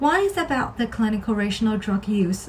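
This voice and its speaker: A woman's medium-pitched voice in a Chinese accent, with music in the background. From China, Shanghai. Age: 20s. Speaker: pharmacist and scholarship applicant. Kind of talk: scripted self-introduction. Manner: formal.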